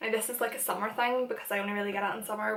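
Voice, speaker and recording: A woman with a Northern Irish accent speaks at a fairly high pitch. Noticeable background noise can be heard. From Northern Ireland. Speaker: YouTuber and makeup artist. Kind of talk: casual chat. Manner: animated.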